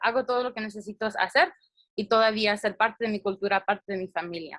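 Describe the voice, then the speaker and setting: Recorded dry and close with no echo, a woman speaks fairly quickly at a fairly high pitch with fairly even intonation. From US, child of Latin American immigrants. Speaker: mental health presenter. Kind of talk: presentation. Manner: halting.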